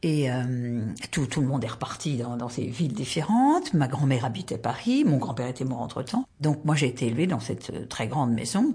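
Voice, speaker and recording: Over noticeable background noise, a woman talks with hardly any pauses in a very deep, low pitch. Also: ordinary pitch variation, moderate pace. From southwestern France, rural Tarn. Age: 70s. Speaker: retired volunteer, soup kitchen coordinator. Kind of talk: personal life story interview.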